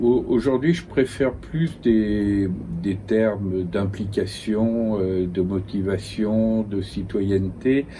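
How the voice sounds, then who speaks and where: Very slowly, a man with a fairly low, dark, mellow voice speaks with ordinary pitch variation. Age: 70s. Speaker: philosopher and essayist. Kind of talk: interview. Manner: halting, repeats words.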